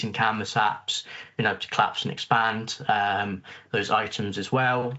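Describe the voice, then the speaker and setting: Monotone and flat in intonation, a man speaks at a medium pitch. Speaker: tech conference presenter. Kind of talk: technical presentation. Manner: fast.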